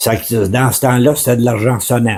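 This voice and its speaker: Somewhat breathy, with a dark, mellow tone, a man talks at a fairly slow pace. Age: 80s+. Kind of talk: interview answer.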